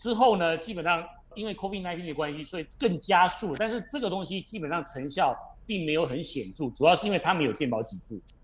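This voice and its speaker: Here a man speaks with a high pitch. His pace is fairly quick. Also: lively intonation. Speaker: company chairman. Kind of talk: radio interview. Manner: measured explanatory with fillers.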